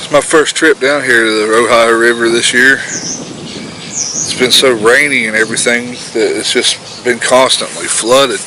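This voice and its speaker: Despite noticeable background noise, a man at medium pitch is heard speaking at a fairly slow pace, with hardly any pauses and fairly even intonation. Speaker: outdoor fishing vlogger. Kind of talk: casual vlog narration. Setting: outdoors by a river. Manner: loud.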